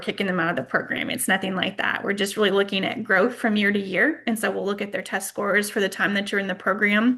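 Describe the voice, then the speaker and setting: Over noticeable background noise, a woman talks at a very fast pace with a medium pitch. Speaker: state education department official. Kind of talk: training webinar Q&A. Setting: online webinar.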